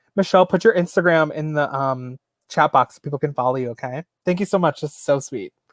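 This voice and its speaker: In a normal speaking voice with an American accent, a man talks at a fairly quick pace and a fairly high pitch with ordinary pitch variation, in a dry, close sound with no echo on a very clean recording with a silent background. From New York, US. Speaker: YouTuber, reseller. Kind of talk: live stream Q&A chat. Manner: casual, chatty.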